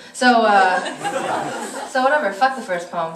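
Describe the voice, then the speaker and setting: Noticeable background noise sits behind a voice with an American accent, lively intonation and a fairly slow pace. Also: woman. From Korean American. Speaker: performance poet. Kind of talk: casual stage banter to a live audience. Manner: energetic, excited.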